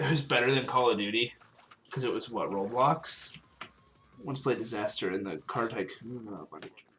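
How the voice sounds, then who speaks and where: Long, frequent pauses over music in the background. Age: 18. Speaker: gaming livestreamer. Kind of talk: casual livestream chat while gaming. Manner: fast; halting, filler-heavy.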